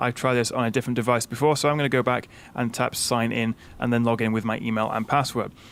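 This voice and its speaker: Speaking very fast, a man with a medium pitch talks in a British accent. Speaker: tech reviewer. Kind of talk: tutorial. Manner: casual, frequent fillers.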